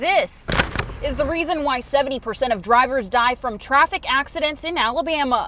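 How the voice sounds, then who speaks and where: Against noticeable background noise, a woman talks at a moderate pace. Her high voice has lively intonation. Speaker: TV news anchor and reporter. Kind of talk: TV news field report. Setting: outdoors.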